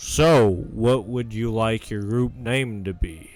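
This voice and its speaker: Someone uses a put-on character voice at a fairly slow pace, with ordinary pitch variation. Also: man, medium pitch for a man. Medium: actual play.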